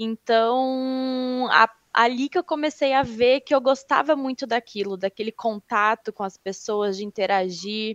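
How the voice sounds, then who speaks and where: At a fairly slow pace with hardly any pauses, a plain, everyday voice with ordinary pitch variation comes through in a dry, close sound with no echo over a quiet background. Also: woman, fairly high pitch for a woman. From Rio Grande do Sul, southern Brazil. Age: 20s. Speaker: HR consultant. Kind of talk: interview.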